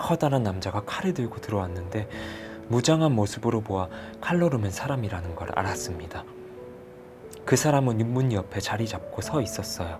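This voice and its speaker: Over music in the background, a man with a calm tone and medium pitch talks at a moderate pace with lively intonation and long, frequent pauses. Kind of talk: audiobook novel reading. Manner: soft-spoken, calm.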